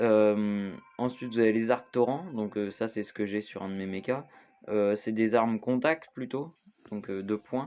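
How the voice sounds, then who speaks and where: The intonation remains fairly even. It comes from a man at a mid-range pitch. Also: fairly slow pace. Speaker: gaming youtuber. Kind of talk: gameplay tutorial. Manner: halting, many fillers.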